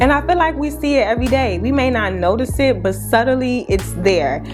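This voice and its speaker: A woman is talking at a moderate speed. Background music can be heard behind her. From Chicago. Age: 20s. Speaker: beauty YouTuber. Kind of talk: casual talk to camera.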